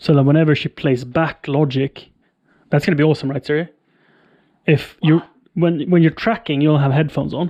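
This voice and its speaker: Over a quiet background, a man speaks at a fairly high pitch in a dark, mellow tone. His intonation is fairly even, with long, frequent pauses. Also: fairly quick pace. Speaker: streamer setting up audio gear. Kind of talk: live stream tutorial.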